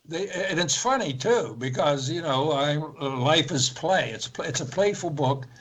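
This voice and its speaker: A man with an American accent at a moderate pace, fairly high in pitch with ordinary pitch variation, amid noticeable background noise. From central Pennsylvania. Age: 80s+. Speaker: author and spiritual teacher. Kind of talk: interview. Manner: halting.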